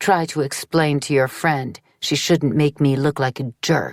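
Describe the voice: A woman's put-on character voice, very deep and low, with fairly even intonation, a fairly slow pace and a dry, close sound with no echo.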